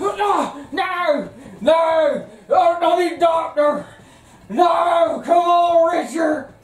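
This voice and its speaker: A put-on character voice at an extremely high pitch speaks very slowly with long, frequent pauses and a slight echo. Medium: comedy sketch. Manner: folksy, excitable.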